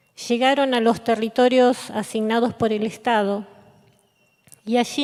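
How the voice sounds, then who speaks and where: Using a plain, everyday voice, a woman speaks at a fairly slow pace with a fairly high pitch and fairly even intonation. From Patagonia, Argentina (Comodoro Rivadavia). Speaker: poet. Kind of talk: reading aloud.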